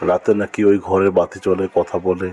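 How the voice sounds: This man's voice is fairly low with a slightly mellow tone. He speaks at a fairly slow pace.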